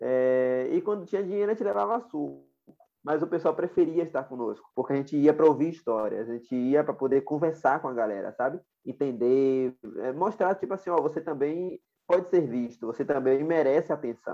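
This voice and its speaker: A man talks fairly quickly in a plain, everyday voice. His pitch is fairly high and his intonation lively. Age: 20s. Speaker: social activist, founder of project for homeless people. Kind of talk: interview conversation.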